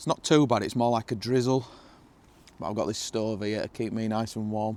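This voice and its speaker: A man with a strong northern English accent talks at a fairly quick pace, his medium pitch moving in fairly even intonation. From northern England. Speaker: camping vlogger. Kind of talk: casual vlog monologue. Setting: outdoors in a hot tent. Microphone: new microphones.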